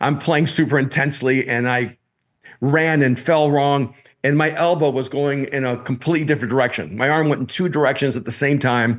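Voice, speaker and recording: A man talks at a fairly quick pace, his pitch fairly high and his intonation fairly even, in an unremarkable speaking voice. His loudness stays very even over a quiet background. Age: 60s. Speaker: pastor and author. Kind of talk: podcast interview. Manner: repetitive false starts.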